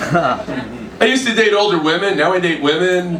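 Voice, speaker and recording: A man's voice carries audible room echo over noticeable background noise. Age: 60s. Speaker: stand-up comedian. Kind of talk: stand-up. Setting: stage with audience.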